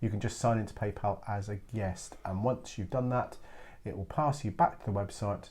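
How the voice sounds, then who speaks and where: A man with an English accent, a fairly low pitch, and a somewhat breathy voice, at a fairly quick pace, in a very clean recording with a silent background. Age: 60s. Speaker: craft download seller, co-host. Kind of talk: casual chat.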